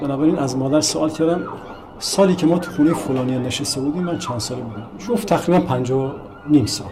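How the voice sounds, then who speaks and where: A man talks at a fairly high pitch with ordinary pitch variation. Audible room echo and noticeable background noise surround him. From Iran, Bushehr (southern Iran). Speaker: painter and sculptor. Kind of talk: documentary interview, personal recollection.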